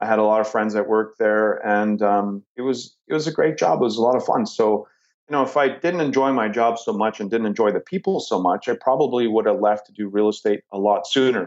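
A man with a Canadian accent and an unremarkable speaking voice talks at a fairly quick pace with hardly any pauses. His pitch is medium, with ordinary pitch variation. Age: 40s. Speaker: real estate investor. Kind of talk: interview.

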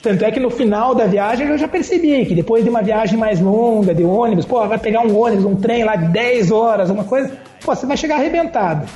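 Over noticeable background noise and audible room echo, a man with a high pitch talks at a fairly quick pace with lively intonation, very even loudness and hardly any pauses. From Curitiba, southern Brazil. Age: 40s. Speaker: travel writer and engineer. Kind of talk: podcast interview.

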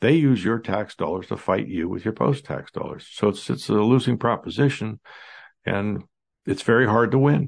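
A man with a normal speaking voice and an American accent talks at a moderate pace and medium pitch, with ordinary pitch variation over a quiet background. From United States. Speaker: dentist, historian and podcast host. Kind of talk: solo commentary monologue.

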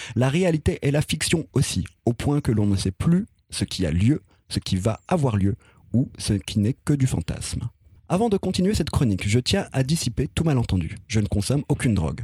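A man's somewhat breathy, dark, mellow voice at a medium pitch, with very wide pitch swings, a moderate pace, very even loudness, and a dry, close sound with no echo. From France, city estate. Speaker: podcast columnist. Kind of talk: scripted narration; casual chat.

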